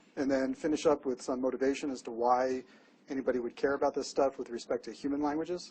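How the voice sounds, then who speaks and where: At a fairly quick pace, a man speaks in a medium pitch with monotone, flat intonation. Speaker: professor. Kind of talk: lecture. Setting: classroom. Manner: fast.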